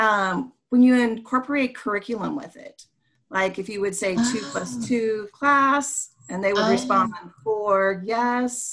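A woman speaks in a normal speaking voice, fairly high in pitch, at a fairly slow pace. Her loudness swings widely while her pitch variation stays ordinary. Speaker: teacher, podcast co-host.

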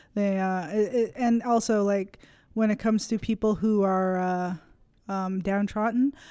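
With a Canadian accent, a woman speaks at a fairly slow pace in a dark, mellow tone with fairly even intonation. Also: medium pitch for a woman. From Nova Scotia, Canada. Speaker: college student and comedian. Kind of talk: casual chat.

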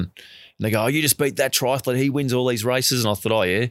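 A man with an Australian accent at a very fast pace, on a very clean recording with a silent background. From Australia (Melbourne). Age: 40s. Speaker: marathon swimmer and swim coach. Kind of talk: interview. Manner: casual with frequent laughs.

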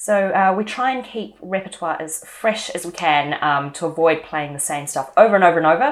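With a New Zealand accent, a woman talks at a fairly quick pace and fairly low pitch, her intonation lively over noticeable background noise. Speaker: cellist and podcast co-host. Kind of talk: casual chat and interview.

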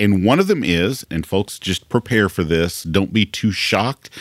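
Using a normal speaking voice, a man talks at a moderate pace with a fairly low pitch. His intonation is lively, and the sound is dry and close with no echo. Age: 50s. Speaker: podcast host and pastor. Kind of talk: casual chat; interview. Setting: studio.

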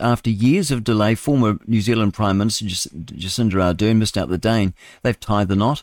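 In a very clean recording with a silent background, a man has a normal speaking voice at a medium pitch, talking at a moderate pace with ordinary pitch variation. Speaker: radio show host reading news headlines. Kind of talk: casual, chatty asides between headlines.

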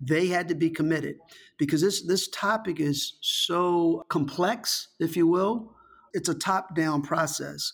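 The speaker has a plain, everyday voice and an American accent. The pace is fairly slow, with ordinary pitch variation. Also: man. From Virginia, Richmond. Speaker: tourism executive. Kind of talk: interview.

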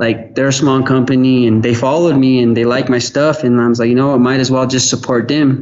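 A man's medium-pitched voice in monotone, flat intonation, with audible room echo. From Gallup, New Mexico (Navajo). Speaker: skateboard company owner. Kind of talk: casual interview.

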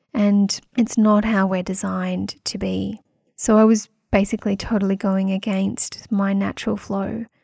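A woman with an Australian accent, medium pitch, dark and mellow tone, somewhat breathy, monotone and flat in intonation, at a moderate pace, on a very clean recording with a silent background. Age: 40s. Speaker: podcast host, women's health practitioner. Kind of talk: solo podcast monologue.

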